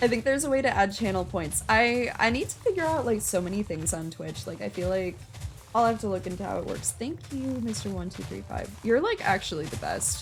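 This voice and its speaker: A woman with an American accent talks at a fairly quick pace over music in the background. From US Midwest. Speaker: game streamer. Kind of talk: casual chat. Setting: live stream. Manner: halting, self-described word stumbling; filler-heavy, frequent 'like'.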